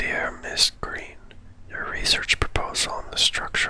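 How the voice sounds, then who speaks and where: A fairly slow whisper with noticeable background noise behind it. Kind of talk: ASMR gaming playthrough. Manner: whispered.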